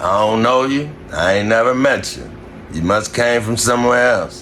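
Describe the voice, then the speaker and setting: Noticeable background noise sits behind a man with an American accent who talks at medium pitch and a moderate pace, with ordinary pitch variation. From Indianapolis, Indiana (west side). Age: 40s. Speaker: vlogger reacting to news clips. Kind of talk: casual reaction commentary. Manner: animated.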